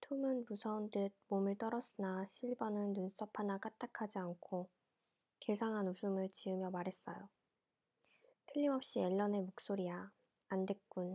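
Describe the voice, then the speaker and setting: A woman speaks at medium pitch and a fairly slow pace, her loudness very even. Her tone is soothing, dark and mellow. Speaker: ASMR storyteller reading books aloud. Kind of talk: audiobook-style reading of a classic novel, ASMR. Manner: soothing, sleep-inducing.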